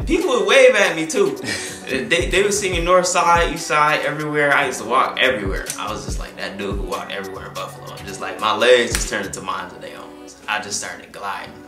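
Clear music plays in the background as a man speaks at a very fast pace. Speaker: interviewee. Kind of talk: interview answer. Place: studio.

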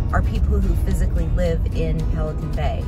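A woman speaks at a moderate pace with ordinary pitch variation over loud background music. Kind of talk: casual vlog chat. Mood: upbeat, enthusiastic. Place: car. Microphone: phone near.

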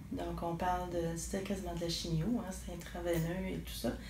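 A woman speaks at a fairly slow pace in a room with audible echo and light background noise. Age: 40s. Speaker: program client. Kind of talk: testimony. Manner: hesitant, with fillers. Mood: calm, earnest. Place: office. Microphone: camera far.

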